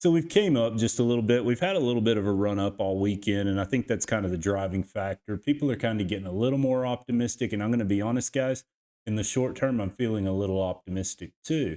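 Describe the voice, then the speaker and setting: A man's fairly low pitch and dark, mellow tone with a Texas accent, very fast pace, hardly any pauses, ordinary pitch variation, on a very clean recording with a silent background. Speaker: crypto YouTuber and team roper. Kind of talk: market analysis tutorial. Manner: casual, conversational; halting with repetitions.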